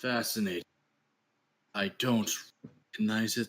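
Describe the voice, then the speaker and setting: A man puts on a raspy character voice at medium pitch. He keeps a moderate pace and fairly even intonation. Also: dry, close sound with no echo. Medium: actual play. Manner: calm, paternal, noncommittal.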